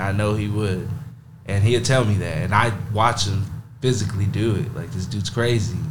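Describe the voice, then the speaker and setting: A man's fairly low voice in an American accent, fairly even in intonation, with audible room echo and noticeable background noise. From Texas, Monahans. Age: 20s. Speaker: college football player, linebacker. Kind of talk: casual interview.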